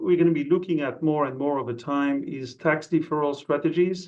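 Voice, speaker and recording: A man with a French accent. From France. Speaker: investment executive. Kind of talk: interview.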